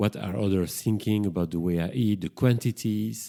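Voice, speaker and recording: A man's dark, mellow, fairly low voice in a strong French accent, ordinary pitch variation, moderate pace, and a very clean recording with a silent background. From Belgium, Brussels. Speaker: psychotherapist and podcast host. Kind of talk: solo podcast monologue. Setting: home kitchen.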